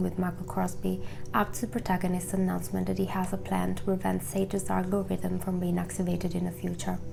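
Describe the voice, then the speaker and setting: A woman talks at a very fast pace with hardly any pauses. Music plays in the background. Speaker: video essayist. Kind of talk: video essay narration. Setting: home recording, imperfect audio. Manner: hesitant.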